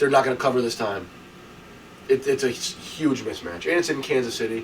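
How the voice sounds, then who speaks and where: Over noticeable background noise, a man talks very fast in a fairly high pitch with ordinary pitch variation. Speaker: sports podcast co-host. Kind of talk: casual chat.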